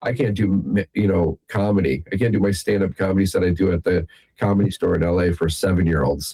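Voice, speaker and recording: Very fast and with an American accent, a man speaks at a very deep, low pitch in a somewhat breathy voice, with very even loudness and ordinary pitch variation. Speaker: magician. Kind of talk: interview.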